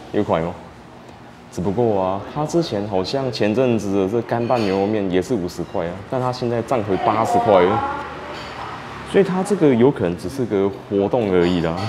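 Through loud background noise, a man talks with ordinary pitch variation. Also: moderate pace. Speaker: food vlogger. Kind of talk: casual vlog chat. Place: home room. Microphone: lapel.

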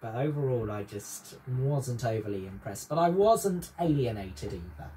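This man's voice is somewhat breathy and swings very widely in pitch. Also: hardly any pauses. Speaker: music reviewer. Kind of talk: casual conversational review. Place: home room. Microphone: camera far.

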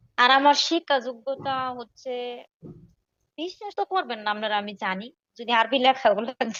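Her voice sits high in pitch, with lively intonation and big swings in loudness. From Bangladesh, Tangail district. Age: 20s. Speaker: marriage-seeking caller, fast food worker. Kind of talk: phone conversation.

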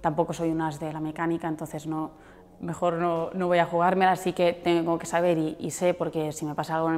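A woman speaks very fast in a fairly low pitch, her intonation flat and monotone. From Andorra. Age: 20s. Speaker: motorcycle rally rider. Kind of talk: interview answers. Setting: newsroom visit. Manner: hesitant, with repetitions and fillers. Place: office.

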